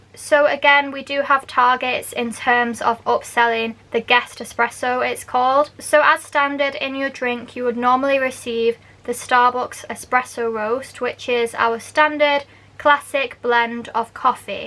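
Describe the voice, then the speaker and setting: With a Manchester accent and a high voice, a woman speaks fairly slowly in a raised, projected voice, her intonation monotone and flat, with hardly any pauses. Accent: Northern English (Manchester). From Manchester, England. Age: 20s. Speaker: barista; university language student. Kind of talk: casual explainer talk to camera.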